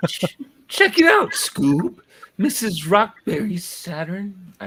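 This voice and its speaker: A put-on character voice, fairly high in pitch and very slow in pace. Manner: loose, casual.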